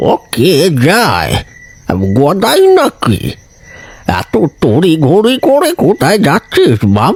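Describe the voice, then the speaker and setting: Using a cartoonish character voice, a man speaks at a high pitch and a very slow pace, his loudness very even, with a dry, close sound and no echo. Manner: earnest, admonishing.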